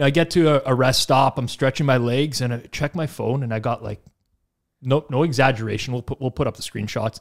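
At a fairly quick pace, a man speaks with ordinary pitch variation against a quiet background. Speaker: podcast host. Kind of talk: casual chat. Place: studio. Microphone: studio mic.

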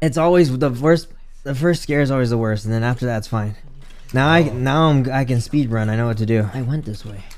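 Talking fairly quickly, a man lets his pitch vary in an ordinary way. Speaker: game streamer. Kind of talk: live gameplay commentary. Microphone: studio mic.

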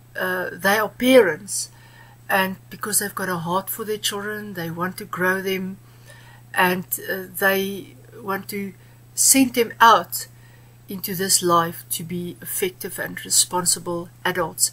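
A woman's bright, sharp tone at a fairly slow pace. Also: ordinary pitch variation. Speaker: guest. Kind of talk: interview answer. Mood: earnest, warm. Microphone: webcam.

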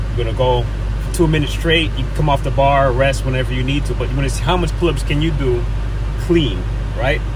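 A man with a very deep, low pitch speaks in a monotone, flat intonation at a fairly quick pace, with a dry sound with no echo and noticeable background noise. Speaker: fitness creator. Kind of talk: casual vlog chat. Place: car. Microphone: phone near.

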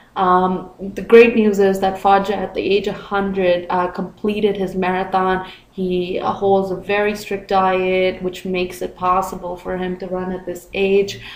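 With hardly any pauses, a woman speaks at a fairly slow pace in a medium pitch and a monotone, flat intonation over noticeable background noise. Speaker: video blogger. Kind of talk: casual talk to camera.

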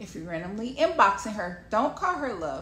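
A woman talks in a medium pitch, with audible room echo and light background noise. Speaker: wellness coach and speaker. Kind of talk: casual advice talk to camera. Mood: playful, sassy, smiling. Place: home room. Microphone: phone near.

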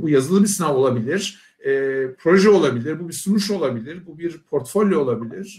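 A man speaks at a fairly high pitch with lively intonation. His pace is moderate. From Turkey. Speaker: university professor. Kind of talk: presentation. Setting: video call. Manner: hesitant, many fillers.

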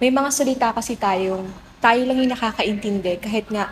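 This is a woman with an unremarkable speaking voice, pitched fairly high. She moves at a fairly quick pace. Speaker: theater actor. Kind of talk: interview.

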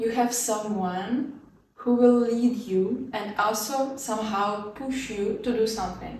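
A woman's fairly high voice, fairly even in intonation and very slow, with audible room echo and light background noise. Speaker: student vlogger. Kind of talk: casual tutorial vlog. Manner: casual, laughs often. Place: home room.

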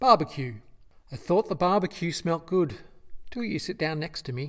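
In an Australian accent, a man talks on a very clean recording with a silent background. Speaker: poet. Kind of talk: poetry reading.

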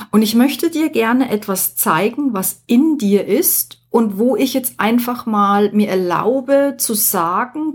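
Breathy to a degree and lively in intonation, a woman with a fairly high voice speaks very slowly on a very clean recording with a silent background. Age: 50s. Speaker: podcast host, life coach. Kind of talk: solo podcast monologue.

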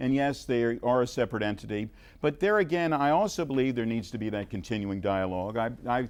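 Someone with a Mid-Atlantic American accent speaks at a fairly quick pace against a quiet background. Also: man. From Montgomery County, Maryland. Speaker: city mayor and political candidate. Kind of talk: candidate debate.

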